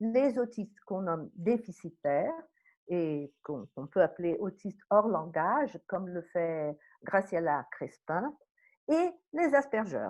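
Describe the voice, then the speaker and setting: Against a quiet background, a woman at a medium pitch speaks at a very slow pace. Her voice has very wide pitch swings and big swings in loudness. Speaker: psychoanalyst. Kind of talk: lecture. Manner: halting.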